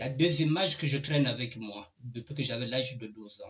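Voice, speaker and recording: A man talks with fairly even intonation, his medium pitch paired with a moderate pace. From Republic of the Congo, Pool region village then Pointe-Noire. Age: 60s. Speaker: online show host. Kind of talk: personal testimony.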